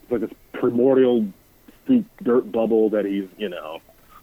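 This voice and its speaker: A man speaks over noticeable background noise. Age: 30s. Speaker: guest. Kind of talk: casual chat. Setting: phone call.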